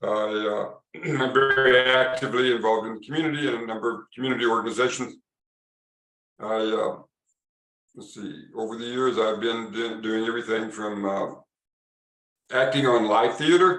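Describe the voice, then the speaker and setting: Speaking with an American accent at a medium pitch and moderate pace, a man uses a bright, sharp tone and ordinary pitch variation, with long, frequent pauses and big swings in loudness. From US Midwest (Illinois, Missouri). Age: 70s. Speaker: retired chiropractor and speaker. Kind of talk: interview.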